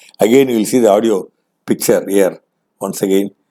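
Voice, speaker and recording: This man's fairly low voice has a dark, mellow tone. He moves at a fairly quick pace with ordinary pitch variation. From India, Tamil Nadu. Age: 70s. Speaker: social worker and author. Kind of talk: narrated slideshow of achievements. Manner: halting.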